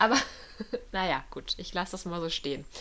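A woman with a bright, sharp tone. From Ruhr area, near Dortmund. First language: Polish (speaking German). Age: 20s. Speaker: podcast co-host. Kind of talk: casual chat.

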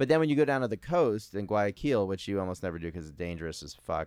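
A man with an American accent has an ordinary speaking voice, fairly low in pitch, with lively intonation. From New York area. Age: 40s. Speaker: podcast host and amateur comedian. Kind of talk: casual interview.

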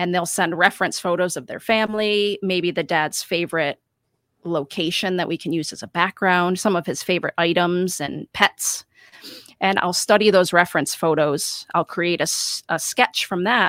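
Heard in a dry, close sound with no echo, a woman with an American accent speaks at a fairly low pitch. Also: moderate pace. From western New York. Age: 30s. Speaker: cut paper artist. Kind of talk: casual interview. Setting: home art studio.

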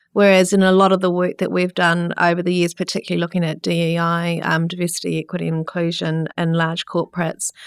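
A woman with a New Zealand accent speaks at a fairly quick pace in a fairly low, flat, monotone voice, recorded dry and close with no echo. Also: very clean recording, silent background. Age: 50s. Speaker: entrepreneur and researcher. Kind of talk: interview.

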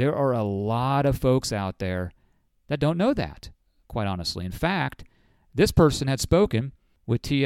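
A man in an ordinary speaking voice talks fairly quickly at a medium pitch with lively intonation, in a dry, close sound with no echo on a very clean recording with a silent background. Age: 40s. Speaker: financial advisor and podcast host. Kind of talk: casual monologue. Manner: conversational.

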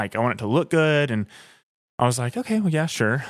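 On a very clean recording with a silent background, a man with a Southern US accent speaks at a fairly quick pace with lively intonation. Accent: Southern US (Georgia). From rural north Georgia (Blairsville). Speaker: thru-hiker. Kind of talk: casual interview. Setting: cabin in the mountains.

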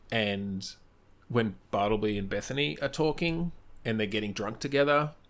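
In an Australian accent, a man speaks at a moderate pace. His pitch is medium, and his intonation is lively. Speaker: improv performer. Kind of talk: casual chat.

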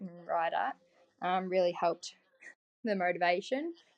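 A woman with an Australian accent at a medium pitch and moderate pace, against a quiet background. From Victoria, Australia (Otways region). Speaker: motocross and desert racer. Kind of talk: casual chat.

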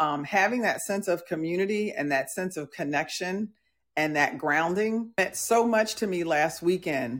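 In a very clean recording with a silent background, a woman speaks at a moderate pace with lively intonation in an ordinary speaking voice. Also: medium pitch for a woman. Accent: American. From US Northeast and Midwest (New Jersey, Milwaukee). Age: 60s. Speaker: podcast host, leadership coach. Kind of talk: casual live podcast chat. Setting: live audio/video platform with audience.

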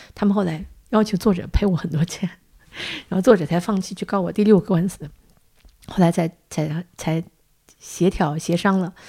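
A woman speaks at a moderate pace and medium pitch, her tone dark, mellow, and somewhat breathy. Her intonation stays fairly even, broken by long, frequent pauses. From Northeast China. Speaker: podcast host, publisher. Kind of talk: casual interview chat.

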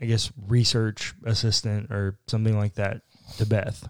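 A man with an ordinary speaking voice talks at a fairly slow pace in a medium pitch. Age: 20s. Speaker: church podcast co-host, pastor. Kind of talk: casual chat.

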